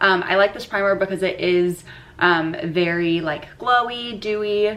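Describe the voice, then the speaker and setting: With an American accent, a woman speaks at a fairly slow pace and medium pitch. Her pitch varies in an ordinary way, and there is noticeable background noise. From Florida. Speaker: beauty vlogger. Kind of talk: casual chat.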